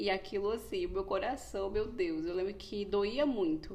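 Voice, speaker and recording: A woman with a medium-pitched voice talks moderately fast, her pitch varying in an ordinary way. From Brazil, Pernambuco and Rio de Janeiro. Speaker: psychologist. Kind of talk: podcast monologue, personal story.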